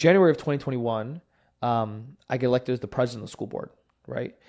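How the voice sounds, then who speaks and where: Over a quiet background, a man with an American accent speaks very fast. His voice is medium-pitched, with a dark, mellow tone. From New Jersey, Jersey City. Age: 20s. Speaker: mayoral candidate. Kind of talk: interview. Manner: casual, filler-heavy.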